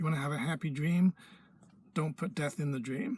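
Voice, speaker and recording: A man's somewhat breathy voice. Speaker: spiritual teacher. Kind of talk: video lecture to camera. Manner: animated; emphatic.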